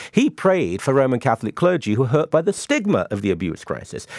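A fairly high-pitched man with vocal fry and very wide pitch swings talks at a fairly quick pace, in a dry, close sound with no echo on a very clean recording with a silent background. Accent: British. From UK. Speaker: author and columnist, panelist. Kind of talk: panel discussion.

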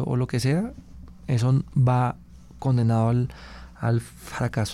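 This man's voice has a dark, mellow tone and sits at a medium pitch. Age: 40s. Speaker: journalist. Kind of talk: interview. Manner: halting.

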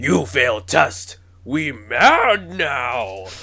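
A raspy, put-on character voice from a man, pitched in the medium range. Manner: gruff, menacing, broken speech.

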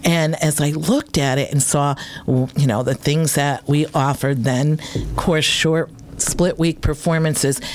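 Over noticeable background noise, a woman talks fairly slowly in a very deep, low voice at a very even loudness. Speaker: radio host. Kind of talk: casual chat. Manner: animated.

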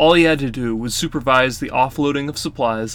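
This is an unforced reading voice. It has ordinary pitch variation.

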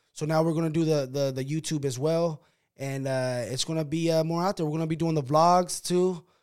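This man has a fairly high pitch and an American accent, with fairly even intonation at a moderate pace. The recording is very clean, with a silent background. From Sacramento, California. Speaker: boxing podcast host. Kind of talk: casual chat.

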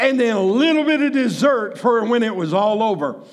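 Noticeable background noise and audible room echo around a man, his pitch varying in an ordinary way. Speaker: pastor. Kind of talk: sermon. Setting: church.

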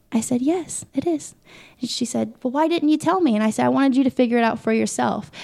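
At a very fast pace, a woman with a Midwestern American accent speaks with a high pitch and lively intonation. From Indiana, Muncie. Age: 20s. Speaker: pageant titleholder. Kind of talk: interview.

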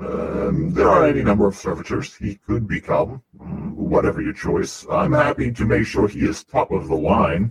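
A man puts on a character voice at medium pitch, talking at a moderate pace with hardly any pauses. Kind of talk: stiff ceremonial speech. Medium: actual play. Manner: formal, measured, unhurried.

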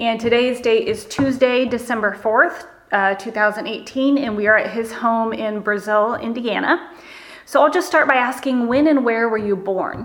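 A woman speaks in an ordinary speaking voice at a moderate pace. Her pitch is fairly high, with ordinary pitch variation. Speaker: interviewer. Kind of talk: oral history interview.

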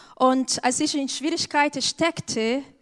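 Very slowly, a woman speaks at a high pitch with fairly even intonation. The sound is dry and close with no echo, over a quiet background. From Brazil. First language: Portuguese (speaking German). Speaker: church member, educator. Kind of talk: church testimony. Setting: church stage.

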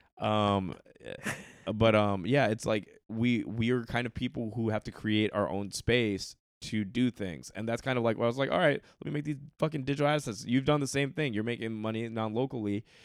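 A man speaks at a medium pitch and moderate pace, with ordinary pitch variation. The recording is very clean, with a silent background. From Hong Kong and Texas, born in London. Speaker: comedian. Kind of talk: casual chat.

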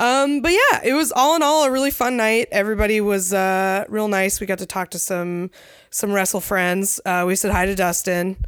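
Her voice is a plain, everyday voice, as a woman speaks at a medium pitch and moderate pace with lively intonation. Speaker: podcast co-host, wrestling enthusiast. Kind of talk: casual chat. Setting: house basement.

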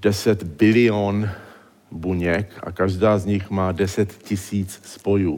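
A man speaks with a non-native accent. Audible echo fills the room. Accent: foreign accent in Czech. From born in exile, trained in the United States. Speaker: neurologist. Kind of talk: public lecture. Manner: halting.

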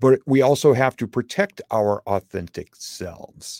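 A normal speaking voice with ordinary pitch variation, in a dry, close sound with no echo. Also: man. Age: 50s. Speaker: guest coach. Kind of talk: casual conversation. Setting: video call.

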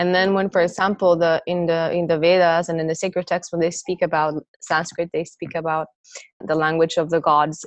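A woman speaks at a fairly quick pace, her fairly low voice held in monotone, flat intonation. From Costa Rica. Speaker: yoga teacher and teacher trainer. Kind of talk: interview conversation.

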